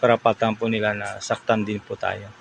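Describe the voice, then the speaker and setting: Noticeable background noise accompanies a man speaking at a moderate pace with a fairly low pitch. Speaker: vlogger giving security guard tips. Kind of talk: casual vlog talk to camera. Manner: halting.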